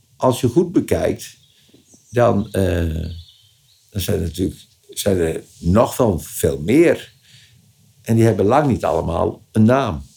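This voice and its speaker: A man's fairly low voice at a very slow pace, with very wide pitch swings and long, frequent pauses. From Friesland, Leeuwarden. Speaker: local dialect expert. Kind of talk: interview. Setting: attic office of a museum. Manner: halting.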